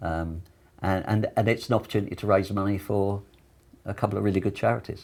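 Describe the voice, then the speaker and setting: With fairly even intonation, a man with a fairly low pitch talks at a very fast pace. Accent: British. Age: 70s. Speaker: army veteran, charity walker. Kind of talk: interview. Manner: halting, many repeated words.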